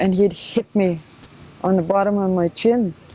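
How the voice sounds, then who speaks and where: There is noticeable background noise in this clip. A woman talks at a moderate pace and a medium pitch. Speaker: residential school survivor. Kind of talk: testimony. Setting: filmed interview. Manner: halting.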